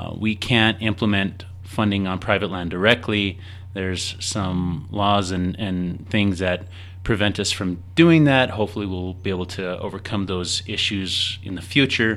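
Very deep, low-pitched man's voice with fairly even intonation. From northern New Mexico, Chama area. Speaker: district forester. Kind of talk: radio interview.

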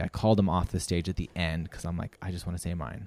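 On a very clean recording with a silent background, a man with a Canadian accent speaks in a very deep, low pitch. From Canada, rural Saskatchewan. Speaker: international school teacher and runner. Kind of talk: casual interview chat.

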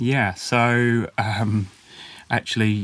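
A man speaks in a southern English accent. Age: 20s. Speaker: business founder. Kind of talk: interview. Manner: hesitant, many fillers.

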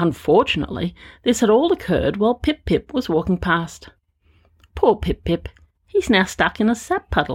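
A woman with a fairly high pitch speaks at a moderate pace, her tone animated and playful, with very wide pitch swings and vocal fry. Her loudness stays very even on a very clean recording with a silent background. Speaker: storyteller. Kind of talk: bedtime story telling; scripted narration with character voices. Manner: animated, playful.

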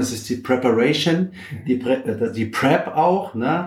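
Noticeable noise in the background, with pitch that varies in an ordinary way. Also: man. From Bavaria, Germany. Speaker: physiotherapist and former ice hockey coach. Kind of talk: casual interview. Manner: hesitant, many filler sounds.

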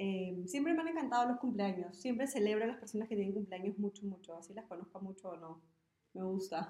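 A plain, everyday voice moves at a fairly quick pace with lively intonation and big swings in loudness. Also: woman, medium pitch for a woman. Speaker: podcast co-host. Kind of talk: casual chat.

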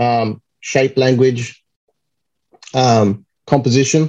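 A man speaks with an Australian accent. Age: 30s. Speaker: comic cover artist. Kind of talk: casual chat.

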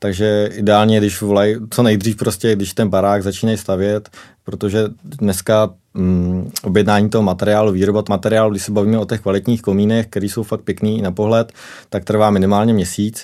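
This man talks at a fairly quick pace in a fairly low, dark, mellow voice with monotone, flat intonation. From South Bohemia, České Budějovice. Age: 20s. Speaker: chimney sweep. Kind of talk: casual interview.

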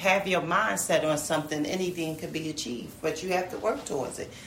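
A woman with an American accent, fairly low in pitch, at a moderate pace amid noticeable background noise. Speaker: mother. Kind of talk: casual family conversation.

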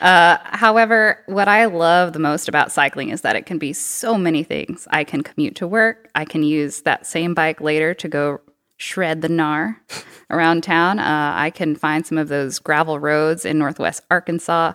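In a very clean recording with a silent background and a dry, close sound with no echo, a woman uses a plain, everyday voice at a fairly low pitch, a moderate pace and ordinary pitch variation. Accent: American. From Texas. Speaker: cycling program coordinator and bike mechanic. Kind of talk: casual interview. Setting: studio.

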